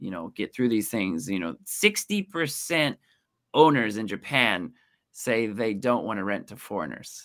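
On a very clean recording with a silent background, a man with an American accent speaks at a moderate pace and medium pitch in a bright, sharp tone. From US, Kansas City area. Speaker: translator and real estate specialist. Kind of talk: casual interview.

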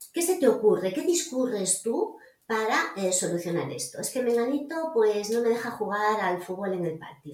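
Her fairly high pitch swinging very widely, a woman speaks at a moderate pace. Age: 50s. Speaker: psychologist and coach. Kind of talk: casual chat.

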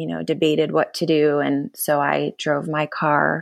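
A woman at a fairly slow pace, on a very clean recording with a silent background. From Minnesota. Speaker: foster parent. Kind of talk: casual interview.

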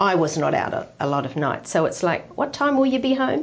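With an Australian accent, a woman talks in very wide pitch swings. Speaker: retired ministry wife. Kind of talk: interview testimony.

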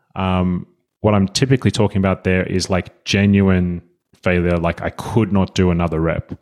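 This man has an Australian accent and a fairly low pitch, talking at a fairly quick pace. The recording is very clean with a silent background. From Australia, Sydney. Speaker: fitness coach. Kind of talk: casual interview chat.

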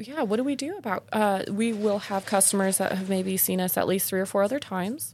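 A woman speaks in an ordinary speaking voice at a medium pitch, with ordinary pitch variation. She talks at a fairly quick pace with hardly any pauses. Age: 30s. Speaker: podcast host and exotic dancer. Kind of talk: casual chat.

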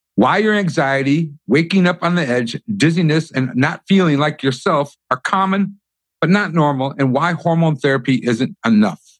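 A normal speaking voice from a man, fairly high in pitch, with lively intonation at a moderate pace. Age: 50s. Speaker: podcast host. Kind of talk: scripted introduction; interview.

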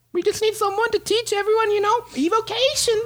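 In a put-on character voice, the speaker squeaks out very fast lines at an extremely high, nasal pitch. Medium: actual play. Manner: terse, keeps saying 'okay' after every sentence.

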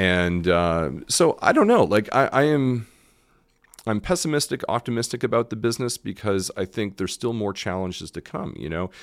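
A man speaks in an ordinary speaking voice. His pitch is fairly low and his pace moderate. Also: lively intonation. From Canada. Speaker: restaurant owner. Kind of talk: casual interview.

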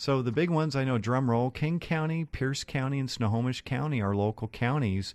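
A man with an American accent speaks in a plain, everyday voice at a moderate pace, with ordinary pitch variation against a quiet background. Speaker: mortgage lender radio co-host. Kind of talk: radio talk show. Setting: studio. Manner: joking.

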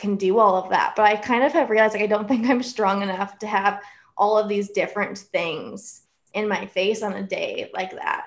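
A woman's ordinary speaking voice, moderate in pace with fairly even intonation, over a quiet background. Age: 20s. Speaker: author. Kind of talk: casual chat.

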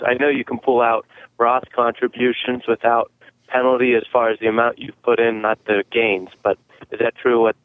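Speaking at a fairly quick pace, a man has a plain, everyday voice. His pitch sits in the medium range. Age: young. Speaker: family business worker, caller. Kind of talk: call-in question. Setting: phone call.

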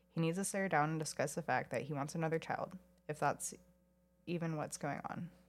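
A woman's normal speaking voice, fairly low in pitch, with fairly even intonation and a fairly quick pace. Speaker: podcast co-host. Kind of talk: casual chat.

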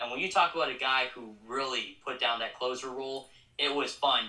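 A man speaks with an American accent. His voice carries audible room echo. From Colorado Springs, Colorado. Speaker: minor league baseball media relations coordinator. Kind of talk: casual interview chat.

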